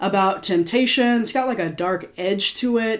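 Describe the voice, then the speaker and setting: With ordinary pitch variation, a woman talks in an ordinary speaking voice. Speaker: singer-songwriter reflecting on own music. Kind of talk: casual video commentary. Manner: casual, filler-heavy.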